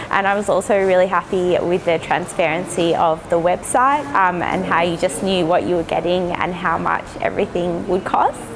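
A woman with an Australian accent talks at a moderate pace amid noticeable background noise. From Melbourne, Australia. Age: 30s. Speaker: education designer, dental patient. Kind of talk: patient testimonial. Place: hall. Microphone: lapel.

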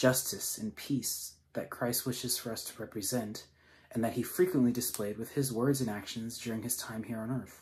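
A man speaks at a moderate pace and medium pitch. His voice is somewhat breathy, with fairly even intonation. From Singapore. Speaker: missionary; speaker. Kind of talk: sermon. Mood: earnest, calm. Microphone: phone near.

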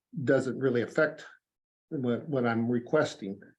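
The speaker is a man with a Midwestern US accent. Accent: US Midwest. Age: 60s. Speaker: farmer. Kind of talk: public comment at county meeting. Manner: halting.

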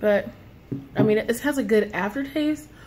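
Somewhat breathy, a woman talks at a moderate pace over light background noise. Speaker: product reviewer. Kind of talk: casual vlog chat. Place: home room. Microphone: phone near.

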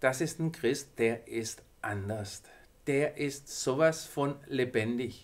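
Lively intonation from a man. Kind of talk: devotional talk to viewers. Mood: warm, encouraging. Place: studio.

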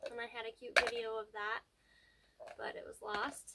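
A woman talks at a moderate pace through loud background noise. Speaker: family vlogger. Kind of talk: casual vlog chat. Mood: mildly regretful, then upbeat. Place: home room.

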